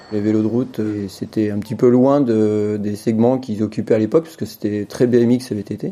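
A normal speaking voice with fairly even intonation and big swings in loudness. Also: man, fairly low pitch for a man, moderate pace. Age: 50s. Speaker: bicycle industry product developer. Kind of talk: interview.

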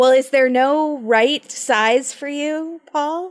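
In a very clean recording with a silent background, a woman with a high pitch speaks with lively intonation. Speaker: podcast host. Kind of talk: casual chat. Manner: talkative.

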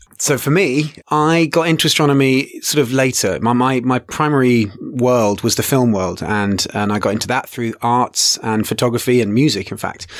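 A man of medium pitch with an English accent, at a moderate pace with ordinary pitch variation and hardly any pauses. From England. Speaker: astronomy educator. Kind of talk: interview. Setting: studio.

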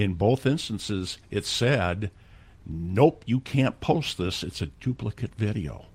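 Very slowly and somewhat breathily, a man speaks with lively intonation at a fairly low pitch. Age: old. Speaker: video marketer, co-host. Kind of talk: casual chat.

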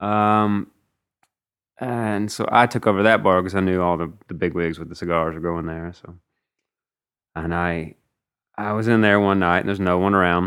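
In a Mississippi accent, a man with a very deep, low pitch speaks at a moderate pace with fairly even intonation. He leaves long, frequent pauses, and the recording is very clean with a silent background. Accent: Southern US (Mississippi). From US South, North Mississippi. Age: 30s. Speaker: singer-songwriter. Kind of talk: casual interview chat. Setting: host's living room. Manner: hesitant, many fillers.

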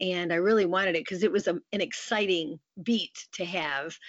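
The voice carries a Midwestern American accent. It moves at a moderate pace with ordinary pitch variation. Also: woman. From US Midwest, Michigan. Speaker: news anchor. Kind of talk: interview.

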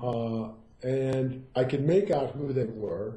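A man's somewhat breathy voice sits at a medium pitch with a dark, mellow tone. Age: 60s. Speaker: Zen teacher. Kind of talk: interview.

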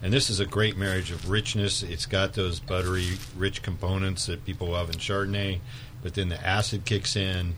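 A man with a very deep, low voice talks at a moderate pace, his intonation fairly even, while noticeable noise sounds in the background. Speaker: wine shop buyer. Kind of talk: radio chat. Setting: studio.

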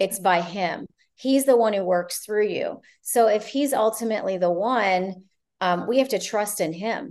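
At a medium pitch, a woman uses an ordinary speaking voice with ordinary pitch variation. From Ohio, partly Canada. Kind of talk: casual interview.

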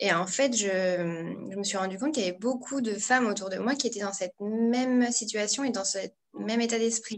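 This woman has a normal speaking voice, fairly high in pitch, at a moderate pace with ordinary pitch variation. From northern France (Pas-de-Calais). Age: 30s. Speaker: blogger and entrepreneurship coach. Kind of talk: interview.

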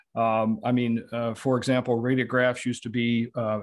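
Against a quiet background, a man with an American accent talks at a medium pitch. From Southeast Michigan. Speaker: dentist and practice consultant. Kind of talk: interview. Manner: halting, many fillers.

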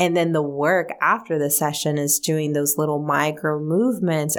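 A woman with a very deep, low pitch talks at a moderate pace, her intonation fairly even. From Mexico (Guadalajara), raised in US from age six. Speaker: energy medicine practitioner and leadership coach. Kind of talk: interview. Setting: radio studio.

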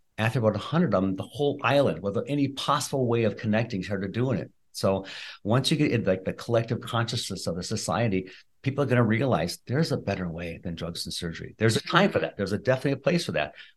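A man talks at a very fast pace with lively intonation. His voice is somewhat breathy, and the background is quiet. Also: medium pitch for a man. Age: 60s. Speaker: chiropractor and functional medicine practitioner. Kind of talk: interview.

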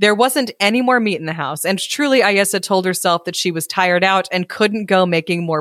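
An unforced reading voice is heard throughout.

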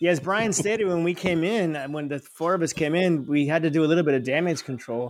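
A man with an American accent, fairly high-pitched, with ordinary pitch variation, at a very fast pace with hardly any pauses. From US South, Florida. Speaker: college professor. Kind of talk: casual chat. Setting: video call.

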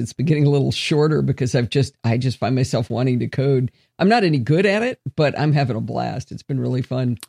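A woman with an American accent and a very deep, low pitch, ordinary pitch variation and a moderate pace, in a dry, close sound with no echo against a quiet background. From United States. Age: 60s. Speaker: podcast host. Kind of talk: casual interview chat; scripted outro.

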